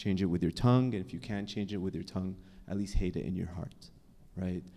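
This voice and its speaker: This man has a fairly low pitch and a dark, mellow tone, speaking fairly quickly with an American accent and ordinary pitch variation. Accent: sounds American to listeners. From Canada. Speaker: psychologist and author. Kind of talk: panel discussion. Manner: casual, with frequent self-corrections.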